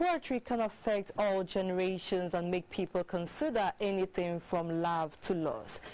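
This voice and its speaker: Her loudness stays very even as the woman talks at a moderate pace with hardly any pauses and ordinary pitch variation. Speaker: news anchor. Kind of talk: news reading. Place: studio.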